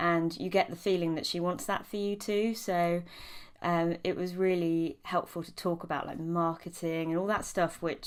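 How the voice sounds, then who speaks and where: Here is a woman with a British accent. Her pitch is fairly low and her intonation fairly even. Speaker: clinical psychologist and hypnobirthing teacher. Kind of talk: testimonial. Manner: hesitant, many filler ums.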